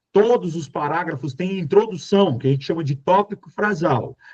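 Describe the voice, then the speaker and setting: A man speaks in a high voice with an animated tone. His intonation is lively. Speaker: Portuguese teacher for exam prep. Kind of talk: lecture.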